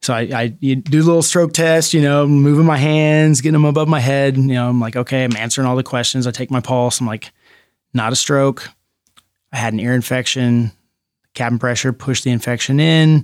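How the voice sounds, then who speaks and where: In a very clean recording with a silent background, a man with an unremarkable speaking voice talks at a medium pitch and a fairly quick pace, his intonation fairly even. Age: 40s. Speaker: jiu-jitsu instructor and gym owner. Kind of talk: casual interview.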